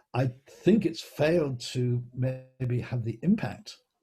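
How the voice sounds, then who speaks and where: A man speaks in a somewhat breathy voice with a dark, mellow tone. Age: 70s. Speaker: knowledge management consultant. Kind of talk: interview. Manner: halting.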